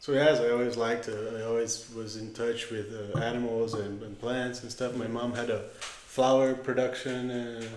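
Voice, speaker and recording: A man with a Portuguese accent talks at a moderate pace and medium pitch in a monotone, flat intonation with hardly any pauses, amid noticeable background noise and audible room echo. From Brazil, São Paulo state countryside. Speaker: agronomist and winemaker. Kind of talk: podcast interview. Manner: halting.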